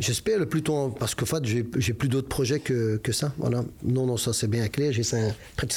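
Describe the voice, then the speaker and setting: A man speaks with a dark, mellow tone. His pitch sits in the middle range. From Belgium, Brussels (Molenbeek). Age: 50s. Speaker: football club president. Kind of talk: interview. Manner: hesitant, many repetitions.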